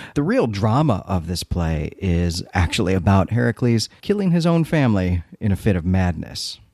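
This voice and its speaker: With a Chicago accent, a man speaks in a dark, mellow tone at a fairly low pitch and a moderate pace, his pitch swinging very widely with hardly any pauses, on a very clean recording with a silent background. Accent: Chicago Midwestern American. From Chicago, US Midwest. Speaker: podcast host. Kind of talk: casual podcast recap.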